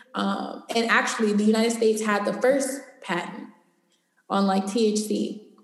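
Audible room echo surrounds a woman with a fairly high pitch. She speaks at a fairly slow pace with fairly even intonation. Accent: American. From Los Angeles, US West Coast. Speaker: cannabis entrepreneur and educator. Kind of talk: interview conversation.

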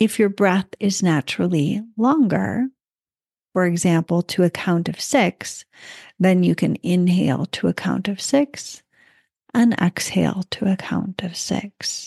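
Speaking at a fairly slow pace, a woman has a calm, soothing tone that is dark and mellow. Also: medium pitch for a woman, ordinary pitch variation. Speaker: psychic medium and breathwork teacher. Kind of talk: guided meditation; teaching talk. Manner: slow, calm, soothing; gentle, instructive.

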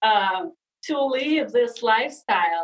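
This woman speaks with a Russian accent. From Russia (Sakhalin, Siberia). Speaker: leadership and personal transformation coach. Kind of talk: casual interview chat. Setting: video call.

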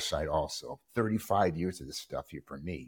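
A man with a normal speaking voice and lively intonation. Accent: American. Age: 60s. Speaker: host's brother, political commentator. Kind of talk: casual political chat. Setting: remote recording.

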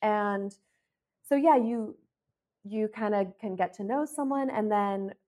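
A woman's plain, everyday voice, with an American accent, medium pitch, ordinary pitch variation and a moderate pace. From US Midwest, Ohio. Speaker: comedian and sex worker. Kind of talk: casual interview chat.

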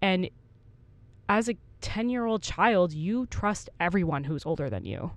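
A woman at medium pitch and a fairly slow pace, with lively intonation and long, frequent pauses. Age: 30s. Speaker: podcast co-host. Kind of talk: casual chat.

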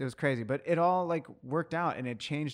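A man speaks at a medium tempo in an unremarkable speaking voice, his pitch varying in a normal way, with a quiet background behind him. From US, Mexican-American family. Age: 30s. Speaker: coffee professional. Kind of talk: casual chat.

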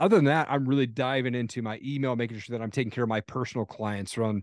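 Over a quiet background, a man rattles along at a very fast pace with a medium pitch and an animated tone. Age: 40s. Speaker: podcast host and motivational speaker. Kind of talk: casual interview chat.

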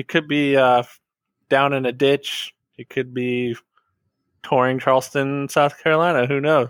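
Using an unremarkable speaking voice, a man with a fairly high pitch talks at a moderate pace with fairly even intonation. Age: 30s. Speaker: returning podcast guest. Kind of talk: casual chat.

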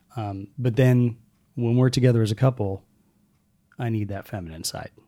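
In a calm tone, a man speaks at a medium pitch with ordinary pitch variation. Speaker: guest, host's partner. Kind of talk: casual interview conversation.

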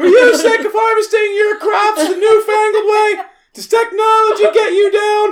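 An extremely high-pitched, put-on character voice. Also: moderate pace. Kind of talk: commercial pitch. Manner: pitchy, salesy.

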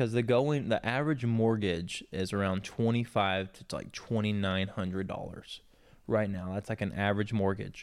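A man speaks with an American accent at a moderate pace, in an ordinary speaking voice. His pitch is fairly low and his intonation fairly even. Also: very clean recording, silent background. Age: 30s. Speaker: podcast co-host. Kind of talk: casual chat. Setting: home studio.

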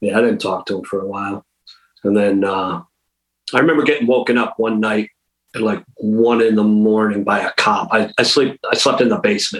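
This is a normal speaking voice with ordinary pitch variation. It moves at a fairly quick pace. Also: man, fairly low pitch for a man. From Western Massachusetts. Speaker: hardcore punk drummer. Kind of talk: interview.

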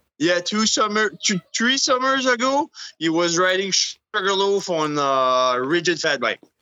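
Speaking fairly slowly in a French Canadian accent, a man uses a high pitch with very wide pitch swings and very even loudness. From Edmundston, New Brunswick. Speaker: mountain biker and trail builder. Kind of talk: casual chat.

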